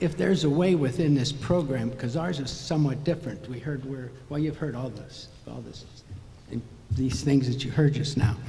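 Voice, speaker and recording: The man's pitch varies in an ordinary way. Audible room echo and noticeable background noise surround his voice. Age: 80s+. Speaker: resident speaking at public comment. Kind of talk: public comment at city council meeting. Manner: halting.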